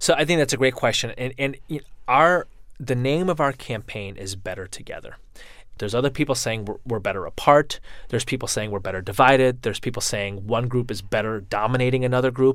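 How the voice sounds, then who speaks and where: In a very clean recording with a silent background, a man with an American accent talks at a very fast pace, medium in pitch with ordinary pitch variation. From US Midwest (Chicago area). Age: 30s. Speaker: interfaith organization founder and author. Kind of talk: interview. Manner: hesitant, with repeated false starts.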